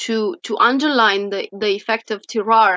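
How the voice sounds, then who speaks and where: With a Romanian accent, a woman speaks in a fairly high pitch and a bright, sharp tone. The sound is dry and close with no echo. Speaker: wine science professor. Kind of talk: interview. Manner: halting, many fillers.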